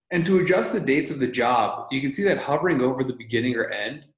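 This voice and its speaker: Somewhat breathy, a man talks at a moderate pace with ordinary pitch variation, audible room echo and a quiet background. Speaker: presenter. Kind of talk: tutorial. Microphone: video call.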